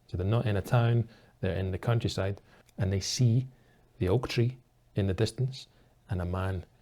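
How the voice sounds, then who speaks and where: This man has a dark, mellow tone, a fairly low pitch and a somewhat breathy sound, speaking with a Scottish accent. His intonation stays fairly even, broken by long, frequent pauses. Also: moderate pace, very clean recording, silent background. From Scotland. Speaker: English teacher. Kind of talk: story retelling for English learners.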